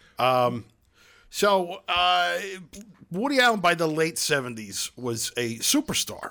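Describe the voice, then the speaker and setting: Speaking at a fairly slow pace with a Brooklyn accent, a man with a fairly high pitch and a bright, sharp tone swings very widely in pitch, in a very clean recording with a silent background. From Brooklyn, New York. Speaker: podcast host. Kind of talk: casual chat.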